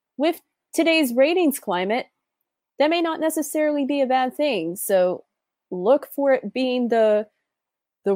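In a dry, close recording with no echo, a woman with a dark, mellow tone speaks at a fairly slow pace with very wide pitch swings. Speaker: guest. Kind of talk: casual chat.

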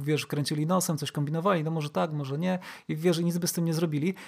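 In a very clean recording with a silent background, a man talks very fast at a fairly high pitch. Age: 30s. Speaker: podcast host. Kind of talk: casual chat.

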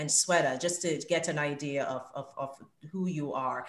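A woman with a very deep, low pitch speaks at a moderate pace over noticeable background noise. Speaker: podcast host. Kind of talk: interview panel discussion.

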